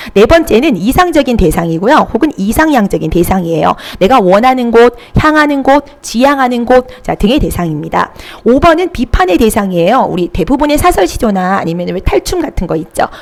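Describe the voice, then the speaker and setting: Amid noticeable background noise, a high-pitched woman speaks at a fairly quick pace with very wide pitch swings. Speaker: Korean literature tutor. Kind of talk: online lecture.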